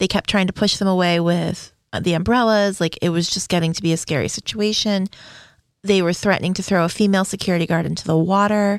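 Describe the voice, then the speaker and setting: In a very clean recording with a silent background, a woman with a plain, everyday voice and medium pitch speaks at a fairly quick pace with fairly even intonation. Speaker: podcast host. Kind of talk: casual banter.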